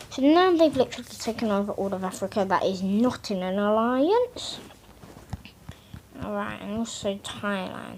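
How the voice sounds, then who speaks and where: A woman at a moderate pace with noticeable background noise. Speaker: mapping video creator. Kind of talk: casual commentary over map scenario. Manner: halting, repetitive filler.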